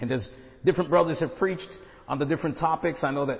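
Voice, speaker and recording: A man's fairly high voice with ordinary pitch variation. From Brooklyn, New York. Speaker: guest preacher, missionary. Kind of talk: sermon.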